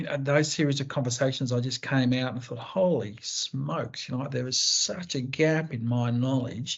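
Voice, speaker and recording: A somewhat breathy man with an Australian accent, fairly even intonation and a moderate pace. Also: medium pitch for a man. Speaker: co-host. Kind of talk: panel discussion.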